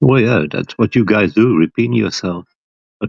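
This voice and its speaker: A man speaks with a Flemish accent in a fairly low voice. His pitch varies in an ordinary way. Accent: Belgian (Flemish) accent in English. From Belgium. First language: not English. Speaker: flat-earth livestream panelist. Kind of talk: heated debate.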